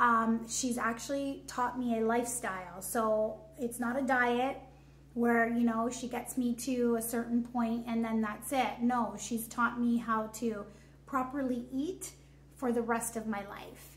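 In a Canadian accent, a woman with a fairly high pitch speaks at a fairly slow pace in a monotone, flat intonation. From Canada, Hamilton, Ontario; Ontario, Canada. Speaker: fitness coaching client; coaching client. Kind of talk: testimony. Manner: hesitant, many fillers. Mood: warm, grateful. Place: home room.

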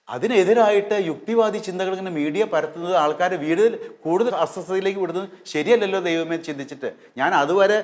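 The man's voice sits high in pitch with ordinary pitch variation. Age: 60s. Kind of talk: religious talk to camera.

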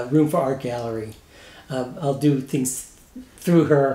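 Audible room echo carries a man's voice, which has ordinary pitch variation. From Missouri, St. Louis area; Missouri. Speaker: retired graphic designer, painter; interviewee. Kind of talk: interview. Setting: home studio. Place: home room.

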